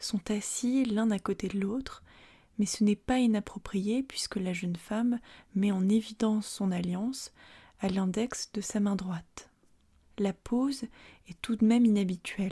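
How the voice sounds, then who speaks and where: The voice is soft-spoken, with a calm tone. It moves at a fairly slow pace with long, frequent pauses. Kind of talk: ASMR art-history narration, calm educational presentation. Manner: calm, soft-spoken.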